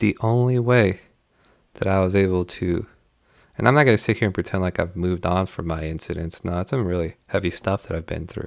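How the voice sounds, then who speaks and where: A man's very deep, low voice at a fairly quick pace, ordinary pitch variation, and a very clean recording with a silent background. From Mexico, raised in US. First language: Spanish. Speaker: podcast host. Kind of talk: monologue podcast talk, opinion.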